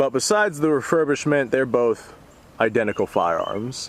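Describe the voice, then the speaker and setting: A medium-pitched male voice amid noticeable background noise. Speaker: firearms youtuber. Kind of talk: casual vlog talk to camera. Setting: outdoors at a shooting range. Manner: halting, repeats words.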